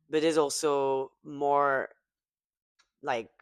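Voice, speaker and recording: The speaker has a French accent. The recording is very clean, with a silent background. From southwest France. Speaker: pop singer and podcast host. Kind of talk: casual chat. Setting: studio table with guests over wine. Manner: halting, searching for words.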